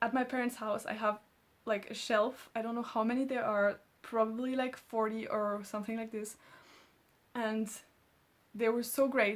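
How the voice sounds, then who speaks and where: A woman with a fairly high pitch speaks in a monotone, flat way at a moderate pace, leaving long, frequent pauses. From France, Alsace. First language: French. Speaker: booktuber. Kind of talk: casual vlog chat.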